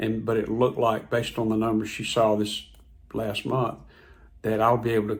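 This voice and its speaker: This man's voice is somewhat breathy. There is a slight airiness to his speech. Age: 60s. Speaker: health vlogger. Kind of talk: personal testimony vlog. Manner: casual, conversational with repetitions.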